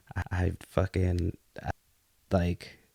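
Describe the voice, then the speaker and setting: A man with a Boston accent speaks in a very deep, low voice, with a dry, close sound with no echo and a very clean recording with a silent background. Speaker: podcast host. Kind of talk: casual chat.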